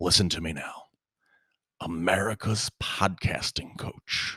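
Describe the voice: In a put-on character voice, a man talks at a fairly slow pace with very deep, low pitch, the sound dry and close with no echo.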